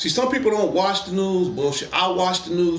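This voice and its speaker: Speaking at a fairly quick pace, a man uses a high pitch and lively intonation. Noticeable background noise and audible room echo fill the recording. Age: 50s. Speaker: gaming livestream host. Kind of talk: casual opinion rant on livestream. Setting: PS4 live stream. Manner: animated.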